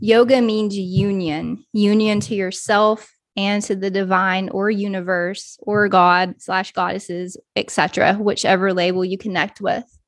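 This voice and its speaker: A woman speaks in an ordinary speaking voice at medium pitch. Her pace is fairly slow, with ordinary pitch variation. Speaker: podcast host and yoga teacher. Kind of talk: personal monologue.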